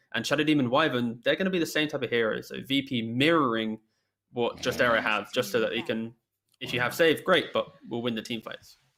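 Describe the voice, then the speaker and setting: A man of medium pitch talks at a fairly quick pace. His tone is bright and sharp. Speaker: esports caster. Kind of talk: live commentary. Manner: monotone.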